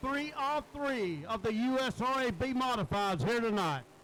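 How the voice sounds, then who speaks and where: Over noticeable background noise, a man speaks at a moderate pace with an extremely high pitch. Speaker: race track announcer. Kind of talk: live commentary. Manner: loud.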